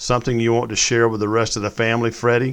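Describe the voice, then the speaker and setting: A man puts on a shaky character voice at a medium pitch, talking at a very fast pace with monotone, flat intonation. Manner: nervous, wavering.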